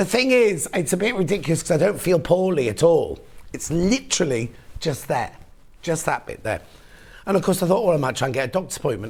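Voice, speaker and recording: Putting on a character voice, a man talks very fast in a husky, high voice with very wide pitch swings. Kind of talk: chatty, casual.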